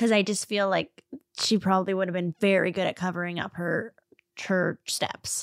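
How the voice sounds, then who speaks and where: At a moderate pace, a woman speaks at medium pitch with monotone, flat intonation and a dry, close sound with no echo. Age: 30s. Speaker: true crime podcast co-host. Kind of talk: casual chat. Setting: studio.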